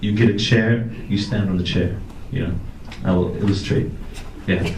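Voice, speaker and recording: Noticeable background noise and audible room echo fill the recording. The talking proceeds at a moderate pace. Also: man. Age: young. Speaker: CEO and rock musician. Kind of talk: motivational talk. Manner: animated.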